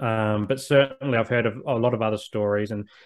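Against a quiet background, a man with an Australian accent speaks at a moderate pace in a medium pitch, his intonation fairly even. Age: 30s. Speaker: social worker and men's mental health advocate. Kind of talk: interview conversation.

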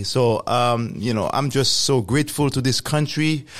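There is noticeable background noise. Through it, a man is talking. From Haiti. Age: 40s. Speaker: government affairs executive and podcaster. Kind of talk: casual interview. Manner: hesitant, filler-heavy.

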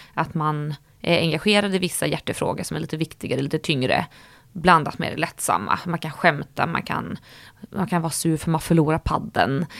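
The woman's pitch is very deep and low, with ordinary variation, and she speaks at a fairly quick pace. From Stockholm, Sweden. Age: 30s. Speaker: influencer. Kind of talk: casual interview.

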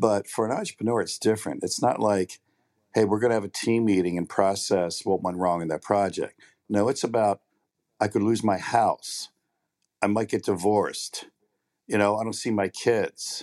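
In a normal speaking voice, a man talks at a moderate pace with fairly low pitch and fairly even intonation, the sound dry and close with no echo. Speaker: coach and writer with a science background. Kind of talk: podcast interview. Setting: live online recording.

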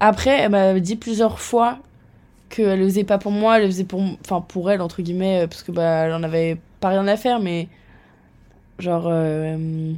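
A woman with a medium pitch and a dark, mellow tone speaks at a moderate pace. Her pitch varies in an ordinary way, and she takes long, frequent pauses. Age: 20s. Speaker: marketing student. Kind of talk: casual chat.

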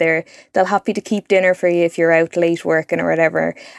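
In a Dublin accent, a woman talks at a fairly quick pace, with a dry, close sound and no echo. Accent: Dublin Irish. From Dublin, Ireland. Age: 20s. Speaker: journalist. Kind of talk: interview.

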